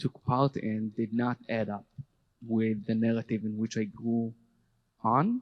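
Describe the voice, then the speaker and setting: Recorded with a dry, close sound and no echo, a man talks at a fairly slow pace with fairly even intonation. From Israel, Jerusalem. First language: Hebrew. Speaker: army veteran and educator. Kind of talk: panel talk. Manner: halting.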